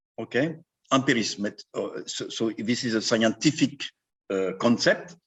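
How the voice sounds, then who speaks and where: Speaking at a moderate pace with lively intonation, a man talks in a French accent. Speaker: endoscopist. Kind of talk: conference talk conversation.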